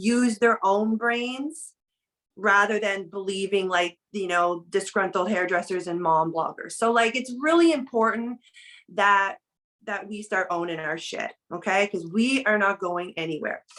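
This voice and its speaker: At a fairly slow pace, a woman speaks at medium pitch in an unremarkable speaking voice. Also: ordinary pitch variation. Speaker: network marketing director. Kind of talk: team training talk.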